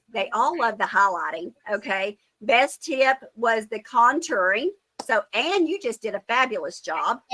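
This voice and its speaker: A woman's fairly high voice at a fairly slow pace, full of very wide pitch swings, in dry, close sound with no echo. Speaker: sales team leader. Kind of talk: online team meeting.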